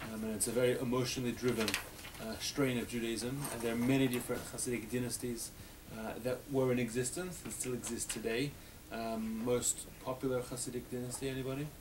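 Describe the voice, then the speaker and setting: A man with an Australian accent talks at a very fast pace and a medium pitch, his intonation monotone and flat. Audible room echo and noticeable background noise fill the recording. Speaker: rabbi teaching a class. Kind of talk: adult education class discussion.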